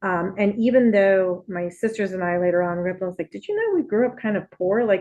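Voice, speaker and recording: A woman's medium-pitched, dark, mellow voice with a Spanish accent, fairly quick and with hardly any pauses, fairly even in intonation, over a quiet background. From Puerto Rico. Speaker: nonprofit executive and former deputy mayor. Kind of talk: interview. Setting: podcast.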